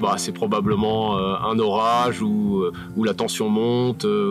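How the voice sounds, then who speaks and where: Music plays in the background as a man speaks. His pitch is fairly low and his intonation fairly even. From France, Paris. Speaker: mountain hiking guide. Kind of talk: outdoor interview. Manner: hesitant, many fillers.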